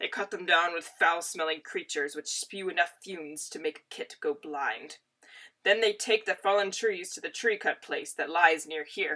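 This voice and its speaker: A woman puts on a growling character voice at medium pitch with a stern tone. She speaks at a moderate pace. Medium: read story. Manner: stern, growling.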